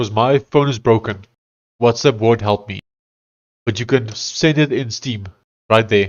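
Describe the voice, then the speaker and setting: Speaking with an Afrikaans accent at a medium pitch, a man keeps a fairly even intonation and leaves long, frequent pauses. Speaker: live streamer and programmer. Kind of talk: casual live stream commentary. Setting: live stream. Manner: halting.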